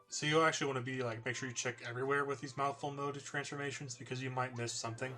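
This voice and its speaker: Over noticeable background noise, a man talks very fast in a flat monotone with hardly any pauses. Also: medium pitch for a man. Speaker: gaming youtuber. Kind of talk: game review commentary.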